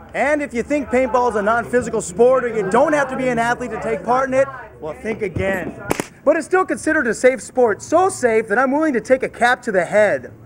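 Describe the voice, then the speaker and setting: An energetic man's voice, extremely high in pitch, at a fairly quick pace with ordinary pitch variation and noticeable background noise. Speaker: bilingual TV news reporter and anchor. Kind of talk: TV news reporter delivery, demo reel. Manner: energetic, polished broadcast delivery.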